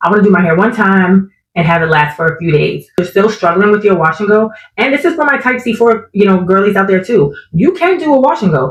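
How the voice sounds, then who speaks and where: Lively in intonation and somewhat breathy, the voice moves at a very fast pace with very even loudness. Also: woman, medium pitch for a woman. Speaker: natural hair content creator. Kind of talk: casual talk to camera.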